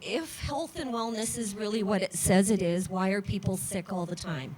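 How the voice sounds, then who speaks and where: Noticeable background noise behind a woman's medium-pitched speech. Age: 60s. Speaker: rally speaker, former family counselor. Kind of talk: rally speech. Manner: halting.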